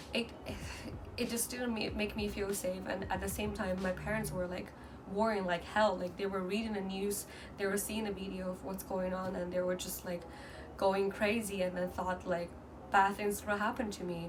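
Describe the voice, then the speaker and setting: Over noticeable background noise and audible room echo, a woman talks at a medium pitch and moderate pace in a monotone, flat intonation. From mainland China. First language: Mandarin. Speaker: vlogger. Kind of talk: casual vlog talk. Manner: halting, with many fillers and restarts.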